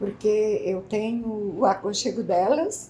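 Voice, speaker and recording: The woman's fairly high voice keeps a fairly even intonation. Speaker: senior centre participant. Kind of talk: interview.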